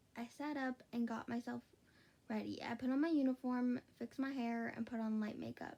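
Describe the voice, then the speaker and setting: A woman speaks quietly at a moderate pace in a high, dark, mellow voice. Her pitch variation is ordinary. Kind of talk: read fan fiction story. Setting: late night at home. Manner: quiet, hushed.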